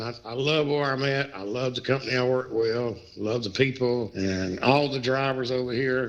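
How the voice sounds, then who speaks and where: Fairly even intonation marks a man's speech. Noticeable background noise runs beneath it. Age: 60s. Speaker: truck driver. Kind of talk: casual chat.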